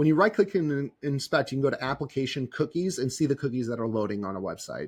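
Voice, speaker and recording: Against a quiet background, a man of medium pitch speaks at a very fast pace with lively intonation. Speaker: software tutorial presenter. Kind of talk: screen-recorded tutorial.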